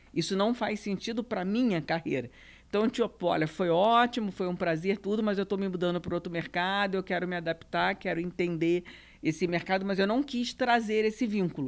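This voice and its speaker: At a moderate pace and with ordinary pitch variation, this speaker has a Rio de Janeiro accent, heard on a very clean recording with a silent background. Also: woman, medium pitch for a woman. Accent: Rio de Janeiro (carioca) Portuguese. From Brazil, Rio de Janeiro. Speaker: real estate business executive. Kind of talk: podcast panel interview.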